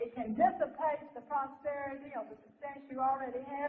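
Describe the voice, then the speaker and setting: A woman with a Southern US accent, high-pitched, at a moderate pace with fairly even intonation. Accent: Southern American. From Southern United States. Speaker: minister and lecturer. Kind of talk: live seminar lecture. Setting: live audience.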